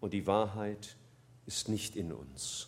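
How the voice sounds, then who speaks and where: A man speaks with vocal fry. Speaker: preacher. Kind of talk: sermon. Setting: church. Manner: earnest, warm and persuasive, building from plain explanation to a quiet, pleading prayer.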